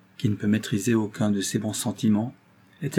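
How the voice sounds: The voice reads in a natural way. That holds from start to finish.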